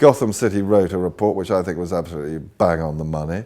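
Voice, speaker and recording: With a British accent, a man moves along at a fairly quick pace. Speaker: short seller, market commentator. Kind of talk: interview answer.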